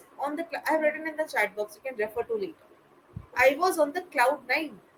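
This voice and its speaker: The speaker talks at a very fast pace in an Indian accent. The intonation is lively. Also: woman, high pitch for a woman. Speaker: English tutor. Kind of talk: one-on-one spoken English tutoring.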